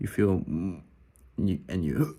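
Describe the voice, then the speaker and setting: A man's fairly low voice has a dark, mellow tone and some vocal fry. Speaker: voice teacher and singer. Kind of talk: casual tutorial.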